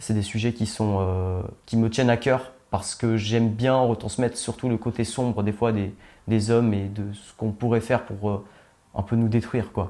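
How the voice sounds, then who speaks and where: Against a quiet background, a man with a fairly low pitch and a dark, mellow tone speaks at a moderate pace in monotone, flat intonation. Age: 20s. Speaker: young filmmaker. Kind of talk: interview. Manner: hesitant, many fillers.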